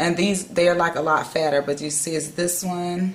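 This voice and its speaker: A moderate pace and flat, monotone intonation against noticeable background noise. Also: woman. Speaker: beauty vlogger. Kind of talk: tutorial.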